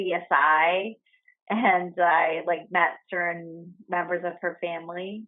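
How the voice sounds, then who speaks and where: Speaking with a New York accent, a woman has a fairly low-pitched voice. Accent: New York City. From the Bronx, New York City. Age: 20s. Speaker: friend. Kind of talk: casual chat. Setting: at home.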